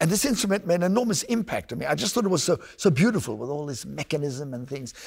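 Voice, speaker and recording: Speaking with a South African accent, a man's fairly high voice moves through very wide pitch swings. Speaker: podcast host and oboist. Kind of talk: interview, casual conversation.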